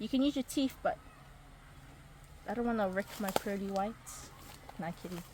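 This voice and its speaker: A woman with a fairly high pitch and lively intonation speaks at a moderate pace with long, frequent pauses over noticeable background noise. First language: Niuean. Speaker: craft video host. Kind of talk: casual tutorial.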